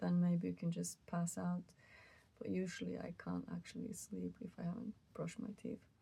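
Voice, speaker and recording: A woman speaks softly at a moderate pace, her tone tired. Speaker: musician. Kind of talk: casual talk to camera. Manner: soft-spoken, tired, rambling.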